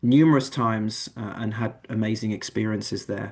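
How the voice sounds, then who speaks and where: Against a quiet background, a man with an English accent speaks at medium pitch and a moderate pace. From England. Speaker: admissions manager. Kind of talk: online info session presentation.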